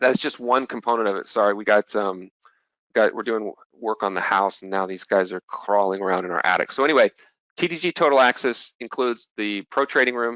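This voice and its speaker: Fairly quick and fairly low-pitched, a man's voice has a bright, sharp tone and big swings in loudness. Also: ordinary pitch variation, dry, close sound with no echo. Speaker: futures trader presenting at an investor expo. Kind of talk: webinar presentation with sales pitch. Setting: home, presenting online. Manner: fast.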